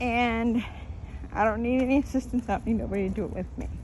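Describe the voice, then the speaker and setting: An American accent colors this voice. It belongs to a woman. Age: 60s. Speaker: fan vlogger. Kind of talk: casual vlog monologue. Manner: halting, repetitive.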